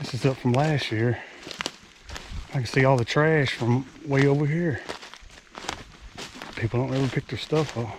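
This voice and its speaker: A man with an American accent talks with fairly even intonation and long, frequent pauses. There is noticeable background noise. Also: medium pitch for a man, moderate pace. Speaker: hunter, outdoor vlogger. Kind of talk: outdoor vlog narration. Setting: outdoors in the woods. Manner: casual, conversational; whispering at times.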